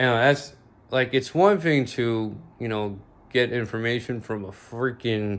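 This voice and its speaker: Very slowly, a man talks with an American accent. His intonation is fairly even. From Bosnia. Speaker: vlogger. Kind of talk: casual monologue. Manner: halting, many fillers.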